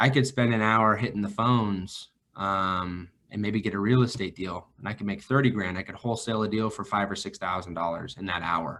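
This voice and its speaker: With an American accent, a man speaks at a fairly quick pace in a bright, sharp tone and a fairly low pitch. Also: ordinary pitch variation. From northern California, Vacaville. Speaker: financial advisor. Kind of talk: podcast interview.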